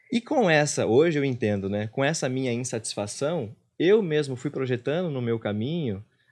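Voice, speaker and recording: With lively intonation, a man talks at a fairly quick pace in a fairly high pitch. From interior of São Paulo state, Brazil (Presidente Venceslau); São Paulo state, Brazil. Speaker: meditation teacher and former actor; meditation teacher, former actor. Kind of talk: casual interview. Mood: reflective, personal. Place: studio. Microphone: studio mic.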